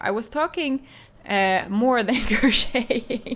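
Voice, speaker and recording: At a fairly slow pace, a woman with a strong Finland-Swedish accent speaks at a fairly high pitch with lively intonation. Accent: heavy Finland-Swedish. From Finland, Swedish-speaking. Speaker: crochet designer and streamer. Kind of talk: live stream chat while crocheting. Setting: live stream.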